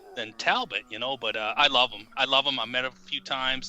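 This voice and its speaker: A man with an American accent at a moderate pace. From United States. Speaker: author. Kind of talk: casual chat. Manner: halting, repeats words.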